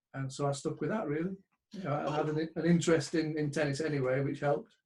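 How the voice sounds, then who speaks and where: A man talks at a fairly quick pace in a somewhat breathy voice. His intonation stays flat and monotone. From northern England, Bradford. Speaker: sports betting trader. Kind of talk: interview.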